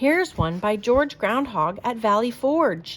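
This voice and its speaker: A woman puts on a character voice, pitched fairly high with very wide swings in pitch. She speaks at a fairly slow pace. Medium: read story.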